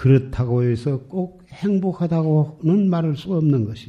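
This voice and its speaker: In a dark, mellow tone, a somewhat breathy man speaks at a very slow pace with ordinary pitch variation. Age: 80s. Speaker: Buddhist monk. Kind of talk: sermon.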